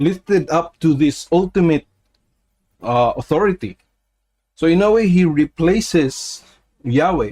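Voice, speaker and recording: A man with a non-native accent speaks fairly slowly in a high pitch with lively intonation, very even loudness and long, frequent pauses, the sound dry and close with no echo. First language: not English. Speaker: religious commentator. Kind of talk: casual talk to camera. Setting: livestream. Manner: halting, many fillers.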